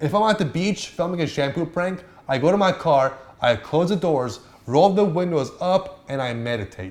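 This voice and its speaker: A man speaks with a high pitch and an animated tone. His intonation is lively, at a moderate pace. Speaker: YouTuber giving on-camera tips. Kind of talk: tutorial.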